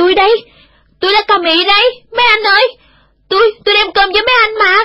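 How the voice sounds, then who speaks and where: A woman speaks in a put-on character voice, shrill and extremely high-pitched, at a fairly slow pace with fairly even intonation. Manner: shrieking.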